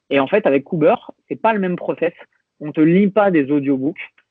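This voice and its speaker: A man's voice with ordinary pitch variation at a fairly quick pace. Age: 30s. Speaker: fitness coach. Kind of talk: podcast interview. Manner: hesitant with many fillers.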